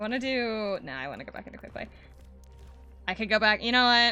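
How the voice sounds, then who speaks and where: With music playing in the background, a woman speaks in a fairly high pitch. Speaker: streamer. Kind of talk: live gaming stream. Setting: live stream. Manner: casual, halting.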